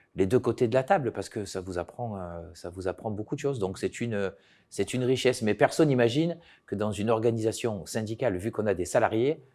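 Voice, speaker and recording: Over a silent background in a very clean recording, a man speaks at a very fast pace. His medium-pitched voice has a dark, mellow tone and ordinary pitch variation. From Provence, southern France (Bouches-du-Rhône). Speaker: trade union leader. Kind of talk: interview. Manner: hesitant, many filler sounds.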